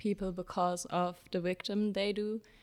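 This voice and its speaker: The intonation of this woman is monotone and flat. She holds a medium pitch. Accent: German. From Germany (Jena, Thuringia). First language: German. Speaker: social work student. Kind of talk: conversational interview. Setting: studio.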